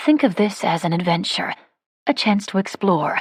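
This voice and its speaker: Someone puts on a character voice pitched in the middle range. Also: moderate pace. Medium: read story. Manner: calm, reasonable.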